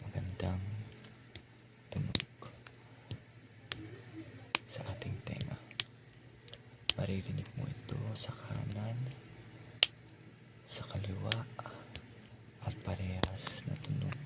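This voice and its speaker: Long, frequent pauses break up very slow whispering, set against noticeable background noise. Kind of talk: ASMR soft-spoken talk. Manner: soft-spoken.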